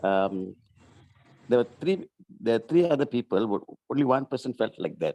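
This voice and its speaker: In a dry, close sound with no echo, a man of medium pitch talks at a moderate pace with a dark, mellow tone, lively intonation and long, frequent pauses. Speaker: workshop participant. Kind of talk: group discussion. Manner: loud.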